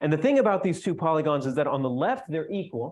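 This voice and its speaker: A man at a fairly high pitch, talking at a very fast pace against a quiet background. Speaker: mathematician giving conference talk. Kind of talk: lecture.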